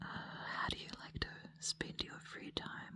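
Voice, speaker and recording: Whispered speech from a woman. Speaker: dancer. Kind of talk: ASMR get-to-know-you Q&A.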